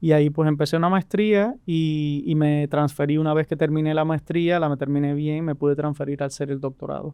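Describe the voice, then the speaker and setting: A man with a Cuban accent speaks at a fairly high pitch in a dark, mellow tone. He moves at a fairly quick pace with hardly any pauses and fairly even intonation. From rural Cuba. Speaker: immigration lawyer. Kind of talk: interview. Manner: halting, many restarts.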